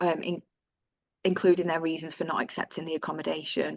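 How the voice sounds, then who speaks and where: A woman speaks with a northern English accent. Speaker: housing tenant organisation staff presenter. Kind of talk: webinar presentation of survey results. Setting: video call webinar.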